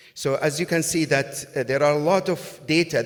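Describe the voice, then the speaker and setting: This man talks at a fairly quick pace. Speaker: cardiac imaging physician. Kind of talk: conference talk. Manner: fast; halting, many fillers.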